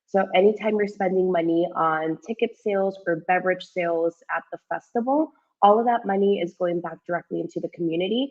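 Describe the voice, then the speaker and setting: The speaker moves at a fairly quick pace with hardly any pauses. Pitch varies in an ordinary way. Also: woman, medium pitch for a woman. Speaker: community outreach coordinator. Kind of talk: virtual tour guest presentation. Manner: halting, filler-heavy.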